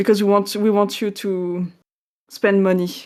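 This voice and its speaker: In a very clean recording with a silent background, a woman speaks at a medium pitch with fairly even intonation. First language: not English. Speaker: game developer. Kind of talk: casual chat. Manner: halting.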